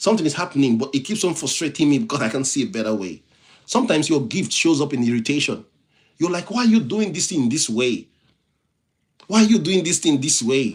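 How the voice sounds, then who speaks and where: This man talks at a very fast pace with a fairly high pitch and very wide pitch swings. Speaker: motivational speaker and IT professional. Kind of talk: live-stream motivational talk. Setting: live stream. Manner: repetitive, halting restarts.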